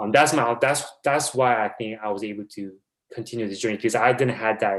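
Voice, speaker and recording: With a Korean accent, a man talks at a fairly quick pace, his medium pitch carried by fairly even intonation. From South Korea. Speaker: basketball video coordinator. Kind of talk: podcast interview. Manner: halting.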